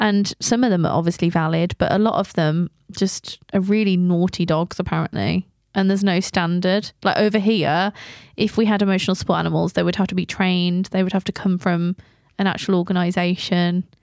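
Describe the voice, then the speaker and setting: On a very clean recording with a silent background, a woman speaks fairly quickly at a medium pitch in a flat monotone, her loudness very even and the sound dry and close with no echo. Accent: English. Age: 20s. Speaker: podcast host. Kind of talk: casual chat.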